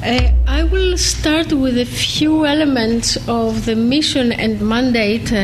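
Amid noticeable background noise, a woman speaks at a very slow pace with hardly any pauses and very even loudness. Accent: Greek. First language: Greek. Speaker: ombudsman and professor. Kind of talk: formal academic lecture. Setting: lecture hall with audience.

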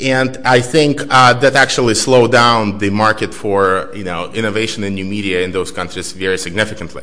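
A man at a fairly quick pace with hardly any pauses, fairly low pitch and ordinary pitch variation, amid noticeable background noise. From Belarus. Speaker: author and researcher. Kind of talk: lecture. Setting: stage with audience.

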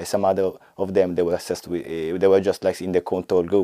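A man's very deep, low voice with an Italian accent, dark, mellow tone and fairly even intonation, in a dry, close sound with no echo. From Italy. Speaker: health economist researcher. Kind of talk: work profile interview. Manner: halting, many fillers.

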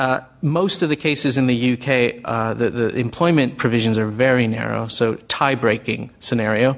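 A man with an American accent talks at a moderate pace in a normal speaking voice, medium in pitch, with fairly even intonation and hardly any pauses. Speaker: think tank director. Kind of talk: panel discussion. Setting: stage with audience.

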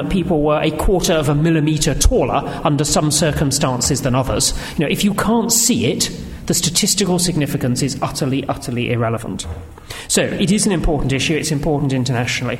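A man with a British accent at a very fast pace, fairly high in pitch, lively in intonation, with noticeable background noise. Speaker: government analyst and economic historian. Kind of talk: panel response and discussion.

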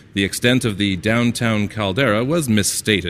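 In a plain, everyday voice, a man at medium pitch talks at a fairly quick pace over a very clean, silent background. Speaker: story narrator. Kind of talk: reading aloud. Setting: stage with audience.

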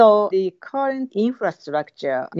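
A woman speaks with a Japanese accent at a fairly slow pace. Her intonation is lively. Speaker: university professor. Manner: halting, many fillers.

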